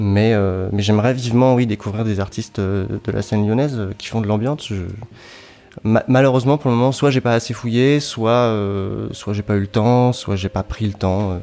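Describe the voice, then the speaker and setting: This man's tone is dark and mellow. His intonation is fairly even. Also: medium pitch for a man, moderate pace. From France, southern Brittany. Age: 30s. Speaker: electronic music composer and sound designer. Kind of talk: interview. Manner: halting.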